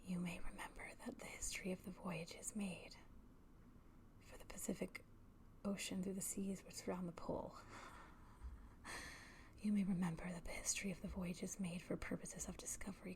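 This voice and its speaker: Whispering at a fairly quick pace, the speaker leaves long, frequent pauses. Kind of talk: whispered literary reading for ASMR. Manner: whispered.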